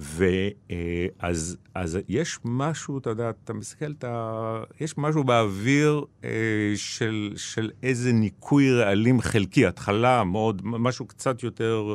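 The recording is very clean and the background silent. A man talks at a very slow pace. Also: medium pitch for a man, ordinary pitch variation. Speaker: journalist and author. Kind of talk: interview. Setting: studio.

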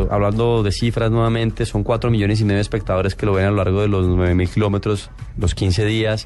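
A man speaks at a fairly low pitch with monotone, flat intonation. Music plays in the background. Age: 30s. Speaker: rally motorcycle rider. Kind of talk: radio interview.

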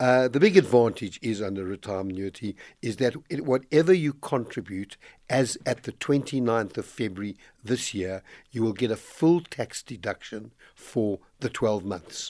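Recorded very cleanly with a silent background and a dry, close sound with no echo, a man talks at a moderate pace and medium pitch with lively intonation. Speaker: financial planning expert. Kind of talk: radio finance advice segment. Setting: radio studio. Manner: energetic.

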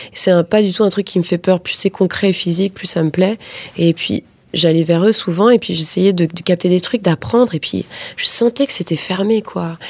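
A woman speaks at a moderate pace in a plain, everyday voice. Her pitch is medium, with ordinary variation. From Paris suburbs, France. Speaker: film director. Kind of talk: interview.

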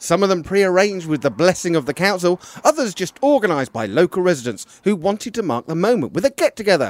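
A man talks at a very fast pace with hardly any pauses, his high voice making very wide pitch swings in a dry, close sound with no echo. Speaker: community radio podcast co-host. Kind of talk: casual chat and street interviews. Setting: outdoors at a street party.

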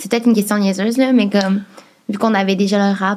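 With a Quebec accent, a woman speaks at medium pitch in a somewhat breathy, monotone, flat delivery. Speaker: podcast co-host. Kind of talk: casual chat.

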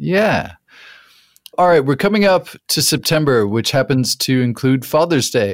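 Pausing long and often, a man with an American accent talks at a fairly slow pace in a medium pitch on a very clean recording with a silent background. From US Southwest, New Mexico. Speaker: podcast host. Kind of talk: interview; scripted narration.

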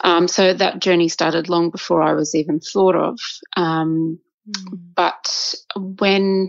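The speaker is a woman with a fairly low pitch. She talks very slowly in a monotone, flat intonation at a very even loudness. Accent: Australian. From Australia. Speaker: violinist and conductor. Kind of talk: casual interview chat.

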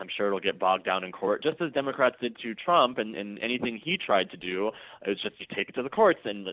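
It is an unremarkable speaking voice with ordinary pitch variation. The pace is fairly quick. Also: man. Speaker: political commentary writer. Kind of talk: political interview. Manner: sarcastic.

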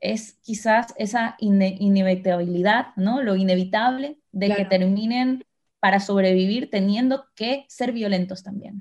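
Somewhat breathy, a woman's medium-pitched voice unfolds at a fairly slow pace. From Ecuador. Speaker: writer. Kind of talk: interview conversation. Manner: halting, with repetitions.

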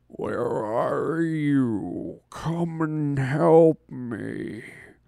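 A man in a put-on character voice. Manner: creepy, pleading, frightened.

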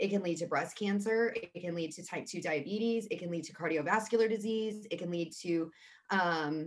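A woman's normal speaking voice at a medium pitch, with ordinary pitch variation and a moderate pace. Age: 30s. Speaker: mental health advocate. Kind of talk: casual interview.

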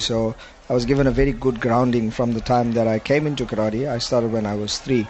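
Very rapid speech over noticeable background noise. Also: man. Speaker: head karate coach. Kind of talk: live interview.

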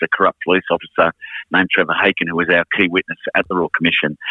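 The speaker has an Australian accent. The pace is very fast. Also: man. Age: 50s. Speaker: music manager and musician. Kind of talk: casual chat.

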